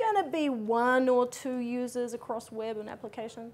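Speaking with a New Zealand accent, a woman has a high pitch. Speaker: conference speaker. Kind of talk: conference talk. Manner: fast. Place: hall.

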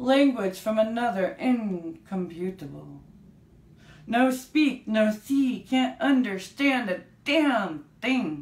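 Audible room echo surrounds a woman whose fairly high, somewhat breathy voice has lively intonation, very even loudness and a very slow pace. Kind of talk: spoken word poetry reading. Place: home room. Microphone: camera far.

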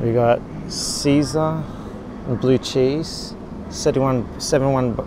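A man with fairly even intonation, in a dry sound with no echo and noticeable background noise. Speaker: expat vlogger. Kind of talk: casual vlog chat. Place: shop. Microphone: phone near.

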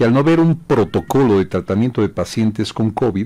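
This is a man speaking. His tone is dark and mellow. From Bolivia. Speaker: radio host. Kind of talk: radio talk show. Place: studio. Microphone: studio mic.

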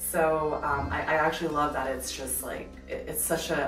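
Speech moves at a moderate pace. Clear music plays in the background, and room echo is audible. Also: woman. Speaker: vlogger giving a house tour. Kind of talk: casual vlog chat. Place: home room.

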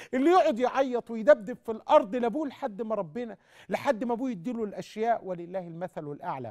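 Against a quiet background, a man talks in an animated tone with a high pitch and lively intonation. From Egypt. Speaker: sheikh answering callers on TV; TV caller. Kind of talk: live call-in religious Q&A. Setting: TV studio, live. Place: studio. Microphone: lapel.

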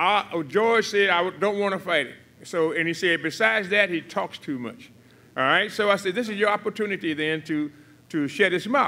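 A man's raised, projected voice, bright and sharp in tone, at a moderate pace. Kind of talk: press conference speech. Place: hall. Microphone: podium.

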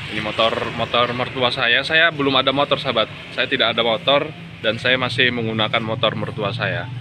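Through noticeable background noise, a man talks at a fairly quick pace with fairly even intonation. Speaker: hydroponic vegetable farmer, vlogger; vlogger. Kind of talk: casual vlog monologue. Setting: outdoors in front of a minimarket. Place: street. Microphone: phone near.

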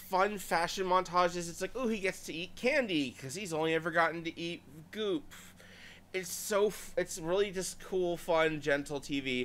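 A man speaks at a high pitch. His pace is moderate. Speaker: video reviewer. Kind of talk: casual vlog commentary. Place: home room.

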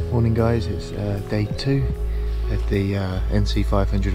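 A man is speaking over loud background music. The sound is dry, with no echo. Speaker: travel vlogger. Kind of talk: casual vlog chat. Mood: relaxed, content morning. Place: waterside. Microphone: phone near.

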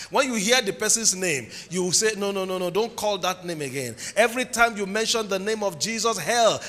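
A man with a Nigerian accent is shouting in a raised, projected voice at a fairly quick pace. His tone is animated, with ordinary pitch variation. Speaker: preacher. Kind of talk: sermon. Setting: church with congregation. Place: church. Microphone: handheld.

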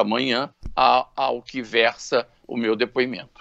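The voice carries vocal fry over a quiet background. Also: man. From Brazil. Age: 60s. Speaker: businessman; interviewee. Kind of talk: radio interview. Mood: serious, earnest. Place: home room. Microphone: video call.

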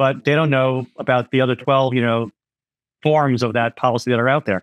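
A man's medium-pitched voice at a fairly quick pace, fairly even in intonation, dry and close with no echo.

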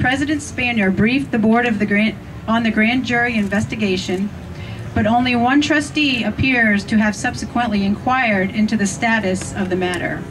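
Behind noticeable background noise, a woman speaks in a fairly high pitch with ordinary pitch variation and very even loudness. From US Pennsylvania. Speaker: rally speaker. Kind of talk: rally speech, scripted-sounding recap of trustee decisions. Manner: formal, emphatic, deliberate, list-like, pointed. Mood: critical, earnest. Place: open country.

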